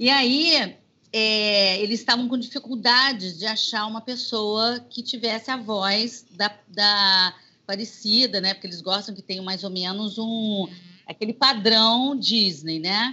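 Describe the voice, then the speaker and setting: A woman at a fairly slow pace with a fairly high pitch. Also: ordinary pitch variation. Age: 50s. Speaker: singer and voice actress. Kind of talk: interview. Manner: animated.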